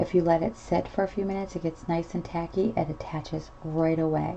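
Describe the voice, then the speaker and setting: Soft-spoken and fairly low in pitch, a woman talks at a moderate pace with fairly even intonation. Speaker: miniature crafter. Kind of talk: tutorial. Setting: home at night. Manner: casual.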